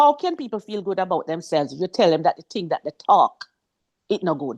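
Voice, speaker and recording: Someone speaks with a Jamaican accent at a fairly quick pace. The background is quiet. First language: Jamaican Patois. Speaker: author and former English teacher. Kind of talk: interview. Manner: animated.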